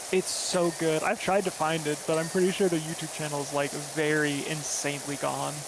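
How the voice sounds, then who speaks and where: The speaker has an American accent and hardly pauses at all. Noticeable background noise runs under the voice. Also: fairly quick pace. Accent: slight Southern accent, mostly word choice. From US South, Florida. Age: 30s. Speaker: streamer. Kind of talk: casual chat. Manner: animated.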